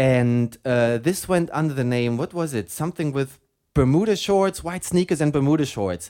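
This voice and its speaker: A man with a German accent speaks in a fairly high pitch with a dark, mellow tone. The recording is very clean, with a silent background. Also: lively intonation, moderate pace. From Germany. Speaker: radio host. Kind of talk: casual chat.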